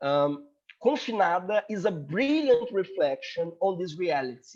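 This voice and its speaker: Speaking with a Portuguese accent, a man uses a high pitch. His pace is fairly slow, and his pitch swings very widely. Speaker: law student presenting a paper. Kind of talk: conference paper presentation. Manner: halting.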